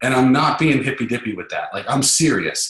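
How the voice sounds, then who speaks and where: Audible room echo surrounds a man whose voice sits at a medium pitch. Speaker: sales trainer. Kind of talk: webinar lecture. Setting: online webinar. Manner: fast.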